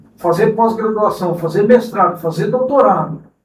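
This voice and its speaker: High-pitched male voice at a moderate pace, with ordinary pitch variation and audible room echo. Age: 60s. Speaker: cooperative president. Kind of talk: interview.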